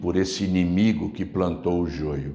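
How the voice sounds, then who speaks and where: This man's intonation is lively and full of movement. The room adds an audible echo. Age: 60s. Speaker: pastor. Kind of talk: sermon.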